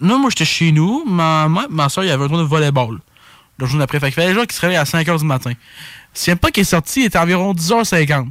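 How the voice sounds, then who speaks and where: A man speaks with a Quebec accent, his pitch high and his intonation lively. He talks at a fairly quick pace on a very clean recording with a silent background. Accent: Québécois French. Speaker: sports podcast co-host. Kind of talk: casual chat.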